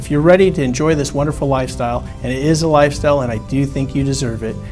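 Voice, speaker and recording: Very fast speech in an American accent, fairly even intonation, clear music playing in the background. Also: man, fairly high pitch for a man. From Southern California. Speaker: real estate agent. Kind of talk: real estate agent promotional introduction to camera. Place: studio.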